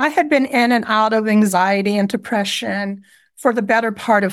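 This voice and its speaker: A woman uses an ordinary speaking voice at a medium pitch. She talks at a moderate pace with ordinary pitch variation. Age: 60s. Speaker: trauma survivor and healer. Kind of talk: interview conversation sharing personal story.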